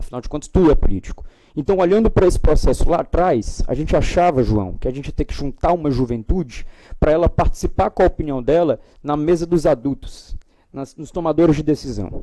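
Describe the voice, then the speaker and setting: Speaking at a fairly quick pace, a man with a fairly high pitch and a dark, mellow tone uses lively intonation. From Brazil, Ceará (cearense-carioca family). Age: young. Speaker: panel speaker, political institute director. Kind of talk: panel talk. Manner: halting, many fillers.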